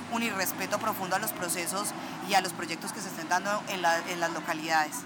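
Recorded with audible room echo and noticeable background noise, a woman speaks at a fairly quick pace. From Colombia, Chinchiná (Caldas, coffee region). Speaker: political candidate. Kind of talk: interview.

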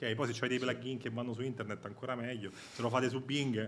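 In a Roman accent, a man talks at a very fast pace and medium pitch. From Rome, Italy. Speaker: tech company AI director. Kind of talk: live event interview. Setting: event with live audience.

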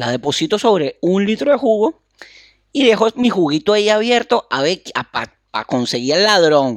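A man with a Venezuelan accent, very wide pitch swings and a moderate pace, in a dry, close sound with no echo. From Venezuela, Carrizal. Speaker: comedy podcast co-host. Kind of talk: casual comedic chat.

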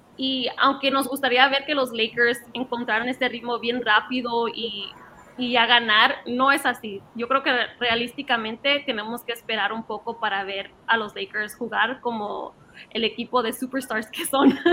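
Speaking at a fairly slow pace, a woman with a high pitch keeps her intonation fairly even. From Los Angeles, US. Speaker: sports commentator. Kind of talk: casual sports panel talk.

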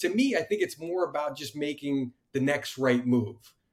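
Here is an ordinary speaking voice from a man with an American accent. He keeps a moderate pace and ordinary pitch variation. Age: 40s. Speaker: podcast host. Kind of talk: casual interview chat.

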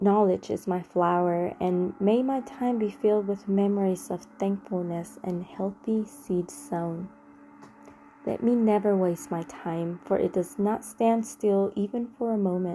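A woman with a plain, everyday voice speaks at a medium pitch. Her pace is fairly slow, with ordinary pitch variation. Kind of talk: guided meditation. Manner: slow, calm, prayerful; soft-spoken, reverent.

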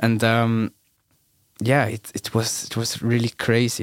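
The recording is very clean, and the background silent. The voice belongs to a man. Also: dry, close sound with no echo. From Switzerland, Bern. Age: 20s. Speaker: DJ and producer. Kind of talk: casual chat. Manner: halting.

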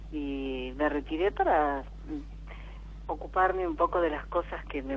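A woman speaks at a fairly slow pace, and audible room echo surrounds her voice. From Buenos Aires, Argentina. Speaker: caller. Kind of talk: phone-in conversation.

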